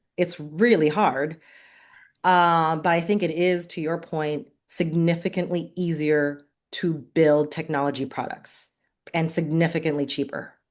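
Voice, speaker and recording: Fairly slow speech from a woman with a fairly low pitch, set against a quiet background. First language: not English. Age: 40s. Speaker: venture capital investor. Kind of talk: podcast interview.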